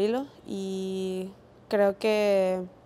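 Her intonation stays monotone and flat. The woman's tone is dark and mellow. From Venezuela, island region. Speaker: footballer. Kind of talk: post-match interview. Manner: halting. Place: hall. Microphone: lapel.

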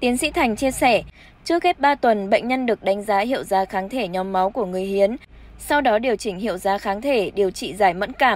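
A woman's normal speaking voice at a medium pitch, with a fairly quick pace and lively intonation. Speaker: news reader. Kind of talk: news reading. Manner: formal.

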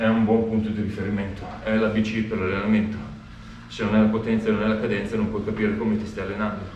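Over light background noise and audible room echo, a man talks very fast in a fairly low pitch with monotone, flat intonation. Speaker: cycling coach. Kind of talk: workout tutorial. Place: garage.

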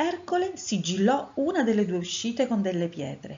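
Her voice is somewhat breathy, with very wide pitch swings. The woman talks at a fairly slow pace. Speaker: storyteller. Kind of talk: reading aloud.

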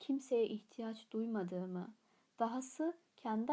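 A natural reading voice runs through the recording.

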